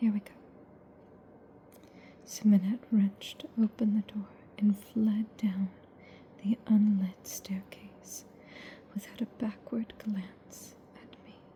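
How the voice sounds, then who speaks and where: Soft-spoken, very slow speech in a monotone, flat intonation, with big swings in loudness and long, frequent pauses. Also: woman, medium pitch for a woman. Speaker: ASMR audiobook reader. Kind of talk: ASMR book reading for sleep. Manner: soft-spoken, lo-fi.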